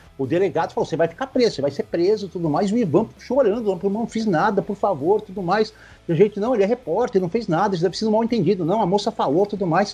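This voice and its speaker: The voice has a dark, mellow tone and ordinary pitch variation, rushing at a very fast pace with hardly any pauses. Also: man, high pitch for a man. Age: 50s. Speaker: sports reporter. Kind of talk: casual interview.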